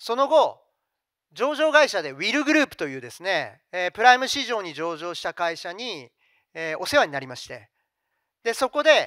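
Against a quiet background in a dry sound with no echo, a man's raised, projected voice rings out with a bright, sharp tone, extremely high pitch, very wide pitch swings and big swings in loudness. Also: moderate pace. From Japan, Fukuoka; Japan. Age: 50s. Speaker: company CEO; presenter. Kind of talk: investor presentation. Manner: formal. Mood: polite, formal business tone. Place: hall. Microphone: handheld.

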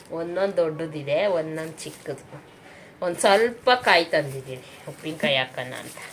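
Over noticeable background noise, a woman speaks with a very deep, low pitch, ordinary pitch variation, and big swings in loudness. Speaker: home vlogger. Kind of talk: casual vlog talk.

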